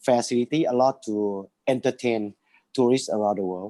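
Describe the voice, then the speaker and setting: A man with a Thai accent, his tone dark and mellow, with ordinary pitch variation and a dry, close sound with no echo. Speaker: business owner. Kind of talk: webinar presentation. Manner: slow.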